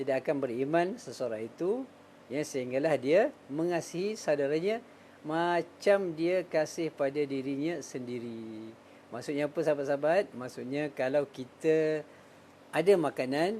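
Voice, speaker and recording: With a dark, mellow tone, a man speaks at a fairly high pitch. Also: ordinary pitch variation, moderate pace. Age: 50s. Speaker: Islamic teacher and finance consultant. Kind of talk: casual religious talk.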